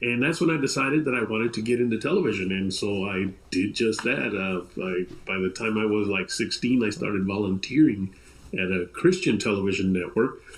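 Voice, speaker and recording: A man speaks at a fairly quick pace with lively intonation. He has a fairly low pitch and a normal speaking voice. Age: 60s. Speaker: television director. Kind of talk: interview.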